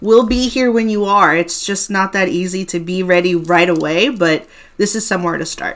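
A woman with a plain, everyday voice talks at a medium pitch and a moderate pace. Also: ordinary pitch variation. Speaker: podcast host. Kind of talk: casual chat.

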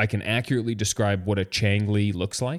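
A man talks at a moderate pace in a fairly low voice, with a Canadian accent and an ordinary speaking voice. The recording is very clean, with a silent background. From Canada. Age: 30s. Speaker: podcast co-host. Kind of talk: casual chat.

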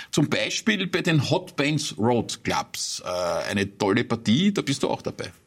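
A man talks very slowly at a fairly high pitch, with very wide pitch swings, vocal fry and hardly any pauses. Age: 50s. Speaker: interviewer. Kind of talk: interview. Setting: studio.

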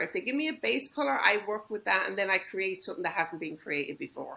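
A woman's bright, sharp voice with vocal fry and lively intonation. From Ireland. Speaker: home baker. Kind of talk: interview.

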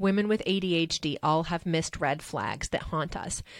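This woman has an ordinary speaking voice, fairly low in pitch with ordinary variation, at a moderate pace in a very clean recording with a silent background. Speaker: podcast co-host. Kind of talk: solo monologue about personal experience.

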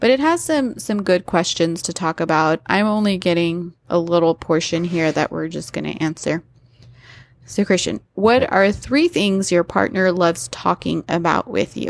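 Here is a woman with a plain, everyday voice, fairly low in pitch with ordinary pitch variation, at a moderate pace. The very clean recording has a silent background and a dry, close sound with no echo. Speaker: podcast host. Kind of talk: casual chat.

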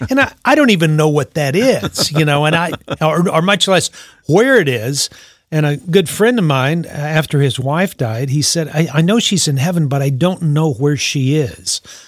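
Against a silent background in a very clean recording, a man with a fairly high voice talks at a moderate pace with lively intonation. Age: 60s. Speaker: radio host and author, counselor for teens. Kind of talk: interview. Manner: halting.

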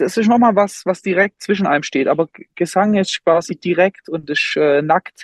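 Delivery is fairly slow, with ordinary pitch variation. The sound is dry and close, with no echo. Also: man. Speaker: music school director and band conductor. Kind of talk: casual interview.

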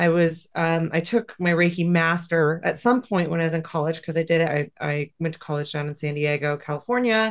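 This woman has a fairly low pitch, fairly even intonation, and an unremarkable speaking voice. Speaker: Reiki teacher and animal communicator. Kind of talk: interview conversation.

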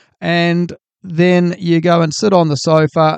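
The voice comes with a New Zealand accent in a dry, close sound with no echo. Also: man. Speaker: podcast host. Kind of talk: solo podcast monologue. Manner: casual, hesitant with fillers.

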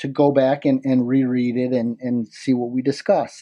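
A man is speaking in a Midwestern American accent. His pitch is fairly high. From Michigan, near Detroit. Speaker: product creator. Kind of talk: interview. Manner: halting, many fillers.

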